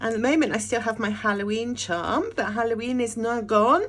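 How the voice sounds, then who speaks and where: Here a woman speaks at a fairly high pitch. She uses ordinary pitch variation. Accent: British. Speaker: journaling YouTuber. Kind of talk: casual unboxing vlog. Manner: animated.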